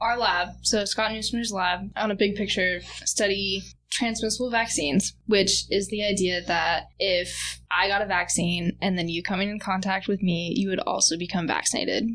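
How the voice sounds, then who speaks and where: A woman with an American accent speaks with vocal fry. Her intonation stays fairly even. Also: medium pitch for a woman, moderate pace. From US Northwest, Tri-Cities, Washington. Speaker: undergraduate researcher. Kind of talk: interview.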